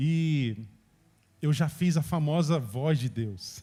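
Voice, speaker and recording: At a very slow pace, a man with a fairly high pitch and dark, mellow tone sounds somewhat breathy, his pitch varying in an ordinary way. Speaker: preacher. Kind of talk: sermon.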